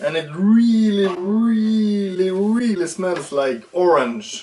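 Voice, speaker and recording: Over noticeable background noise, a man talks with a Swedish accent. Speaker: RC hobby YouTuber. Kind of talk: casual tutorial. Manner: animated.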